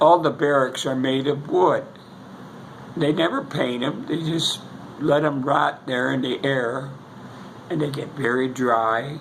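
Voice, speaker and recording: An American man with a fairly high pitch and fairly even intonation speaks with long, frequent pauses, amid audible room echo and noticeable background noise. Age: 80s+. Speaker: war veteran. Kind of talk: casual chat. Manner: halting.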